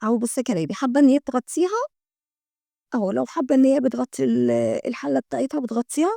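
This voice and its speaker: The voice has an Egyptian accent. The sound is dry and close with no echo, on a very clean recording with a silent background. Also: woman. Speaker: homemaking vlogger. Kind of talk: product show-and-tell vlog. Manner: chatty, repetitive fillers.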